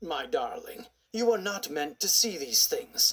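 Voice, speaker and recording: Putting on a raspy character voice, a man talks at a fairly slow pace with an extremely high pitch. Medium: read story. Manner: formal, cold.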